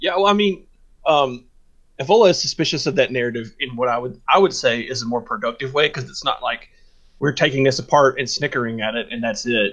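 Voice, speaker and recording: A normal speaking voice with an American accent, lively intonation and a fairly quick pace. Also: man, medium pitch for a man. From US South. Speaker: podcast co-host. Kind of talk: casual discussion.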